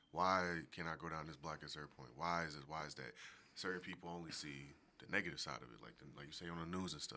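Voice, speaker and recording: A very deep, low male voice with an American accent, vocal fry and a bright, sharp tone, very fast and fairly even in intonation. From US Northeast, Philadelphia. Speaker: podcast guest. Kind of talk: casual chat.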